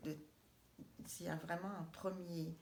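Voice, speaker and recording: A woman speaks very slowly at a fairly low pitch in a flat monotone. Audible room echo surrounds her voice. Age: 60s. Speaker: cooperative housing project member. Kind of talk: interview. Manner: halting.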